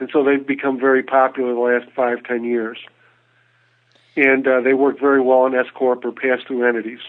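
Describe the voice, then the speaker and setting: A man speaks in a flat monotone. His pace is moderate. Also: medium pitch for a man. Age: 60s. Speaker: financial advisor. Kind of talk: radio interview. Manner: halting, many repetitions.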